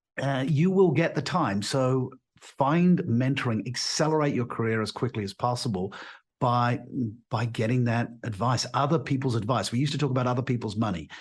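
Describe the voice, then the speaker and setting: A man talks at a fairly quick pace with a somewhat breathy, medium-pitched voice, ordinary pitch variation and a quiet background. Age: 60s. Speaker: leadership coach and author. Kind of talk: interview. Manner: halting with many repetitions.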